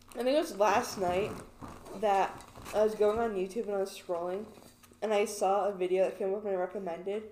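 Against noticeable background noise, a woman talks at a fairly quick pace but leaves long, frequent pauses. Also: medium pitch for a woman, fairly even intonation. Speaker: podcast co-host. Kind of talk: casual chat.

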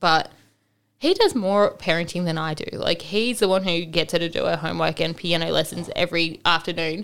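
An unremarkable speaking voice, this woman talks at a fairly quick pace with fairly low pitch and fairly even intonation. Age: 20s. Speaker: single mother sharing her story. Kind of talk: casual chat.

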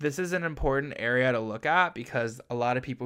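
A man at a medium pitch and a moderate pace, against a quiet background. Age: 20s. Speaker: podcast host. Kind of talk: casual chat. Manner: animated.

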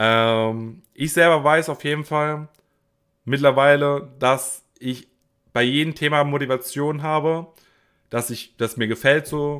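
A man at a fairly high pitch and a very slow pace, with long, frequent pauses, on a very clean recording with a silent background. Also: fairly even intonation. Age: 20s. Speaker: podcaster. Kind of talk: solo podcast monologue. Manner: casual with frequent fillers.

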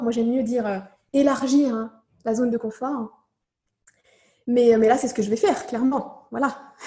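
A woman's high-pitched voice in a dark, mellow tone, broken by long, frequent pauses. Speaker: mother sharing birth story. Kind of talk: testimony. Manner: halting; soft-spoken.

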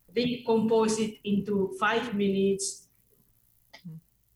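A woman speaks somewhat breathily at a fairly high pitch. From Indonesia. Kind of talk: radio interview. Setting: video call into radio studio. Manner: halting.

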